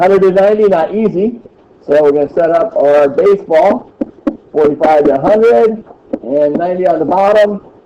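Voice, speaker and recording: There is noticeable background noise as a man with a high pitch speaks at a very even loudness with ordinary pitch variation. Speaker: middle school math teacher. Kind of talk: classroom lesson. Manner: fast.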